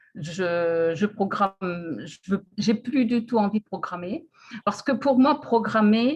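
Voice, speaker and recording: Speaking at a very slow pace, a woman with a medium-pitched, somewhat breathy voice uses lively intonation and big swings in loudness. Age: 70s. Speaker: retiree interviewed about personal development. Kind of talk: interview. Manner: hesitant.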